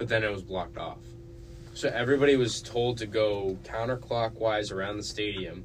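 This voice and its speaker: Amid noticeable background noise and audible room echo, a man with a fairly low pitch talks at a moderate pace with fairly even intonation. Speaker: student podcast co-host. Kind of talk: casual chat.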